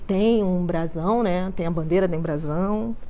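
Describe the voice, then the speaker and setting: A woman is speaking. Audible room echo can be heard around her voice. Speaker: museology researcher. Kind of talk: panel talk. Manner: halting.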